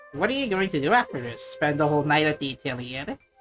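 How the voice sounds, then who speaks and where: A put-on character voice at a middle pitch, rattling along at a very fast pace over clear background music. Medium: game stream. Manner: warm, easygoing.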